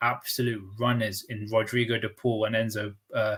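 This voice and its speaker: Somewhat breathy man with a London accent, talking at a moderate pace. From London, northwest. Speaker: football pundit. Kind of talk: casual chat.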